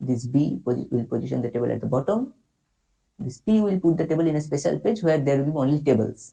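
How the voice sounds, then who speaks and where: Someone with an Indian accent speaks at a very fast pace in a dark, mellow tone, somewhat breathy, with lively intonation. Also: man, fairly high pitch for a man. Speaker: workshop instructor. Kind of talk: tutorial. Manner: halting.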